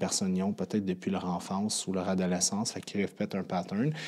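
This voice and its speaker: In a Quebec accent, a man talks at a fairly quick pace with a fairly low pitch and a dark, mellow tone. The recording is very clean, with a silent background. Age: 30s. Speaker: podcast host, fitness coach. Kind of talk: podcast monologue. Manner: casual, with many fillers.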